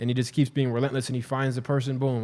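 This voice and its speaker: On a very clean recording with a silent background, a man speaks in a dark, mellow tone with an American accent. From US Midwest (southeast Ohio, small town). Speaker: barber and business coach. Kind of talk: casual interview chat. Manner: animated.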